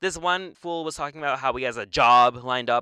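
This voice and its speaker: A man's bright, sharp tone in a dry, close sound with no echo. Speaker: podcast co-host, college student. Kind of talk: casual chat.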